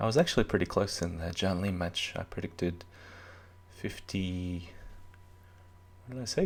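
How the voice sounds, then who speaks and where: Soft-spoken and very deep in pitch, this man talks at a moderate pace with fairly even intonation. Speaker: chess commentator. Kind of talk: live commentary.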